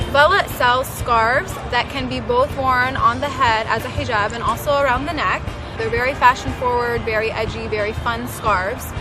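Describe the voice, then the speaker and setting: A woman at a moderate pace with hardly any pauses, audible room echo, and music in the background. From Southern California, Orange County. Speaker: fashion business owner. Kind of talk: interview testimony.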